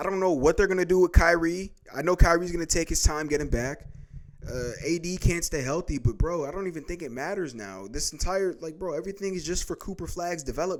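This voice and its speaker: Talking very fast in a high voice, a man sounds animated, with ordinary pitch variation and big swings in loudness. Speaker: sports YouTuber. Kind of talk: casual rant. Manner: stuttering.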